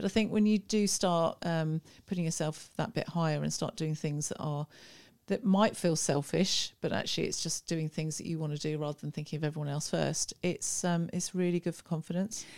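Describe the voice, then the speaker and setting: A woman's plain, everyday voice, fairly low in pitch, at a fairly quick pace with fairly even intonation. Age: 60s. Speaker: boutique owner. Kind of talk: casual interview chat.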